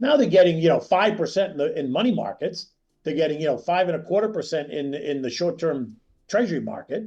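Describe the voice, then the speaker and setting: Over a quiet background, a man with a high pitch and a dark, mellow tone talks at a very fast pace with lively intonation. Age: 60s. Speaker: stock market analyst. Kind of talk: interview.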